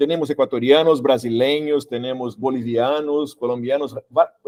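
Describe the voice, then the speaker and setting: A man with a Brazilian accent has a dark, mellow tone. The sound is dry and close, with no echo. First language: Portuguese (speaking Spanish). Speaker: workshop instructor. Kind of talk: panel discussion. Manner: halting.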